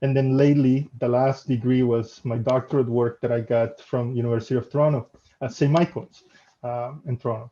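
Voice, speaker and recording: A man with a Spanish accent speaks fairly quickly at medium pitch. His tone is dark and mellow, and his intonation is flat and monotone. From El Salvador. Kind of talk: casual interview.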